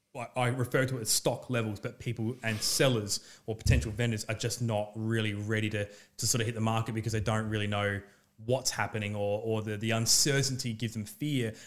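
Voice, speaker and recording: With an Australian accent, a man speaks at a fairly quick pace in a medium pitch, his intonation flat and monotone, on a very clean recording with a silent background. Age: 30s. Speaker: real estate agent and former fighter. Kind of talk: casual chat.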